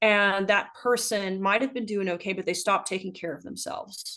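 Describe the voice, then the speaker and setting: In an American accent, a woman with an unremarkable speaking voice talks at a moderate pace and medium pitch with ordinary pitch variation over a quiet background. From US South. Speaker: ultrarunner and health practitioner. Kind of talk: casual chat.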